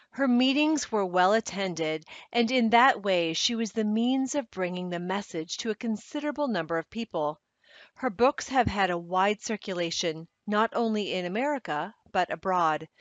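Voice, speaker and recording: A woman's plain, everyday voice at a medium pitch, with lively intonation and a moderate pace. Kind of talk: audiobook reading.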